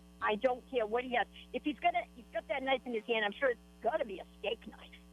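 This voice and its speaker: A woman's high-pitched voice at a very fast pace, with ordinary pitch variation, big swings in loudness and noticeable background noise. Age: 60s. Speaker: caller. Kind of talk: call-in radio. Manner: emphatic.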